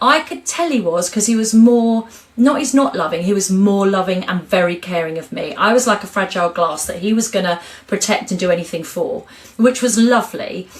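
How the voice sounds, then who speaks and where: Over noticeable background noise, a woman talks fairly quickly in an animated tone. Her pitch is medium with ordinary variation. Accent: English. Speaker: cancer survivor and author. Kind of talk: interview. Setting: podcast. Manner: loud and chatty.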